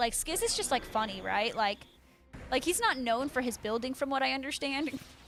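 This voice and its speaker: Over music in the background, a woman speaks in a high pitch with an American accent. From Florida. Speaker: gaming streamer. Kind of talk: casual live stream chat. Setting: live stream. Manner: fast; halting, many fillers and restarts.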